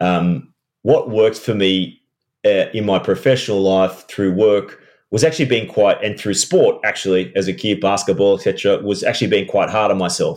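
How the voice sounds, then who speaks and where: With an Australian accent, a man talks in a fairly low voice. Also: quiet background. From Australia, Sydney. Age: 40s. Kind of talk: casual interview. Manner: halting, repeats words.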